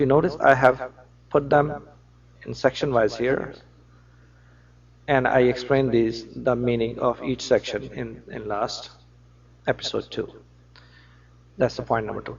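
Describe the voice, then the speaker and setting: With a non-native accent and vocal fry, a man speaks at a fairly slow pace with fairly even intonation, big swings in loudness and long, frequent pauses. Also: medium pitch for a man. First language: non-native English speaker. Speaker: religious lecturer. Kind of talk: religious lecture to camera.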